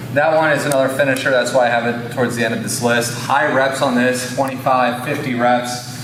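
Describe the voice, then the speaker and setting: A man's medium-pitched voice, fairly quick and monotone with flat intonation and hardly any pauses, amid noticeable background noise and audible room echo. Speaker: fitness coach. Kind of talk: tutorial.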